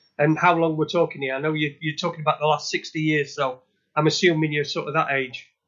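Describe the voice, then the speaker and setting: A man with a Yorkshire accent talks at a very fast pace, with a fairly high pitch and fairly even intonation. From northern England, Sheffield. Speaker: podcast co-host. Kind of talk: interview. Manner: halting, repetitive.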